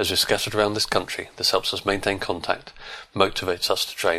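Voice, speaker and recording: Talking fairly quickly, a man comes through with noticeable background noise behind him. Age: 40s. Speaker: amateur cyclist and listener. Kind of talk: testimony.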